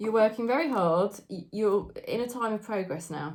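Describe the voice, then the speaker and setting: There's a British accent in this woman's speech. She talks at a moderate pace. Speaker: tarot reader. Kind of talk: tarot reading monologue.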